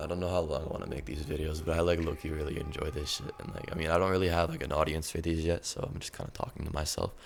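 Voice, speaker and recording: Against noticeable background noise, a man talks at a very fast pace in a very deep, low pitch. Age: 20s. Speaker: music artist and channel host. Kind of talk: casual monologue to camera. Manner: rambling, stuttering; excited.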